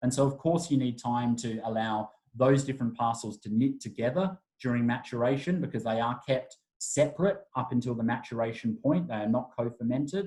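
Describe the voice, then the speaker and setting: A somewhat breathy man's voice with an Australian accent, medium pitch and a dark, mellow tone. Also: ordinary pitch variation, fairly quick pace. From Adelaide, Australia. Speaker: wine brand ambassador. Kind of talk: wine masterclass presentation.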